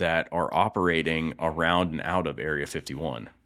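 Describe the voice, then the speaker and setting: A speaker with an American accent is heard on a very clean recording with a silent background. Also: man. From Florida, East Lake. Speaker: podcast co-host. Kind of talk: casual chat.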